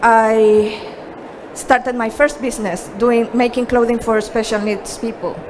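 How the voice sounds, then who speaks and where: Amid noticeable background noise, a woman with a Chilean accent and a fairly high pitch speaks at a very slow pace. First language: Spanish. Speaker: productivity coach. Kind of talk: presentation.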